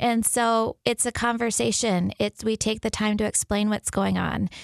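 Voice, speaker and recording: At a moderate pace, a woman with a fairly high pitch and fairly even intonation uses a normal speaking voice, recorded with a dry, close sound with no echo on a very clean recording with a silent background. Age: 40s. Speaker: physician at a birth center. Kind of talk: radio interview.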